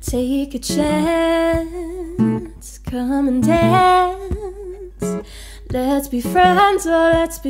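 A woman speaks with clear music in the background. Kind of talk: casual livestream chat and singing. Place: home room. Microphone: studio mic.

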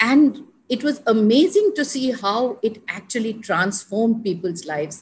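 Against light background noise, a woman with a fairly high pitch speaks at a moderate pace, somewhat breathy and with lively intonation. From India. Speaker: senior civil servant and development advisor; podcast guest. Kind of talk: interview conversation. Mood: reflective, warm. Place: home room. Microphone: video call.

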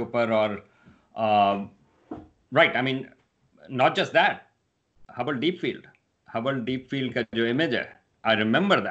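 A man's medium-pitched, an ordinary speaking voice at a fairly slow pace with ordinary pitch variation, over a quiet background. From Pakistan. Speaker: astronomy professor. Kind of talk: interview. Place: home room. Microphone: video call.

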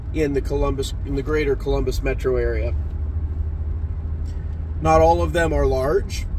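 A man talks at a fairly slow pace. The sound is dry with no echo, with noticeable background noise. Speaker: auctioneer. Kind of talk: casual vlog chat. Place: car. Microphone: phone near.

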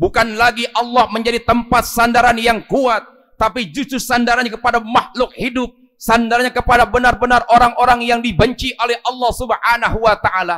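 A man projects a raised voice with a bright, sharp tone at a moderate pace. His intonation is flat and monotone, and the background is quiet. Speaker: preacher. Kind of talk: sermon. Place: church. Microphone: podium.

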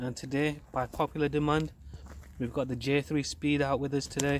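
Fairly quick and in a flat monotone, the speech has a dry sound with no echo and light background noise. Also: man. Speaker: RC hobby vlogger. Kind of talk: casual vlog chat. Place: street. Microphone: phone near.

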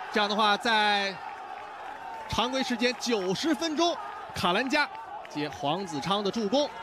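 With noticeable background noise, an excited man in a raised, projected voice speaks at a high pitch and fairly slow pace, his pitch swinging very widely between long, frequent pauses. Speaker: football commentator. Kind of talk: live football commentary. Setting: broadcast commentary. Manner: excited, raised voice on goals.

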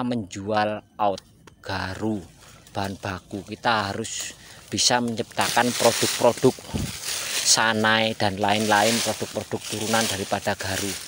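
Noticeable background noise runs under this recording. A man speaks fairly slowly in a fairly low pitch with monotone, flat intonation. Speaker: agarwood farmer. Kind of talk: vlog tutorial.

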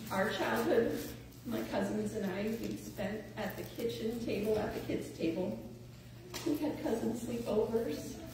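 A woman at a fairly slow pace, with strong room echo and noticeable background noise. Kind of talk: eulogy speech. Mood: warm, fond, lightly humorous. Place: church. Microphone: camera far.

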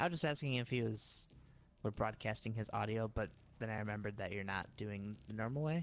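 A man talks at a fairly quick pace in a fairly low voice. His pitch varies in an ordinary way over a quiet background. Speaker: gaming video host. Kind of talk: casual gameplay chat.

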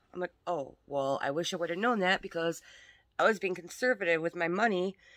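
The woman speaks fairly quickly over a quiet background, with ordinary variation in her pitch. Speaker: crafter vlogger. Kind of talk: casual vlog chat. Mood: animated, mildly exasperated. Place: home room. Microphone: phone near.

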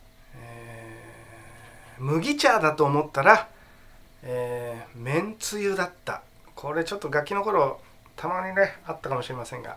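With lively intonation and big swings in loudness, a man speaks at a fairly slow pace, leaving long, frequent pauses. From Tokyo. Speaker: actor. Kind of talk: casual talk to camera. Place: home room. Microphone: phone near.

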